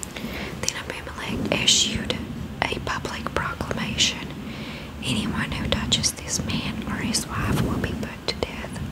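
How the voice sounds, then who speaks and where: A woman whispers, keeping a fairly slow pace. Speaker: ASMR creator. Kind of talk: Bible reading. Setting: studio, microphone with fluffy cover. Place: home room. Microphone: studio mic.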